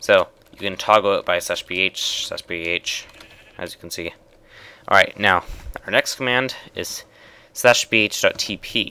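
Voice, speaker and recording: A man speaks with long, frequent pauses. His loudness swings widely. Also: dry, close sound with no echo. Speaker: gaming video creator. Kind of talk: tutorial. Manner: fast; halting.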